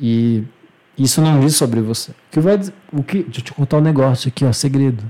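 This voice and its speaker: A man talks at a medium pitch in a dark, mellow tone. His pitch varies in an ordinary way. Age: 20s. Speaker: podcast host. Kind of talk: casual chat.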